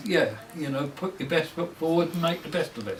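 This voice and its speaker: A man with a fairly high pitch speaks with ordinary pitch variation over noticeable background noise. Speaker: local councillor. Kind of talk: interview answer.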